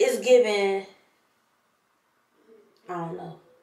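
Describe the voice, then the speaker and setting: A woman talks at a fairly slow pace, her words carrying audible room echo. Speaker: hair vlogger. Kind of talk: casual vlog chat. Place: bathroom. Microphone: phone near.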